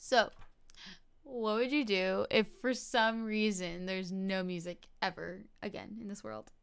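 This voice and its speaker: With an American accent and an ordinary speaking voice, a woman talks at a fairly slow pace and medium pitch, her pitch varying in an ordinary way while her loudness swings widely. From New Jersey. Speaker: podcast host. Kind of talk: casual chat. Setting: in person.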